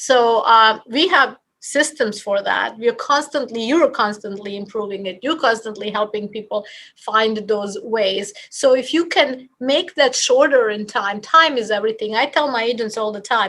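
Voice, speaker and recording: A woman in a Bosnian accent talks in a bright, sharp tone at a fairly high pitch, with ordinary pitch variation and hardly any pauses. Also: moderate pace. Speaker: real estate office leader. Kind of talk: podcast interview. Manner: animated.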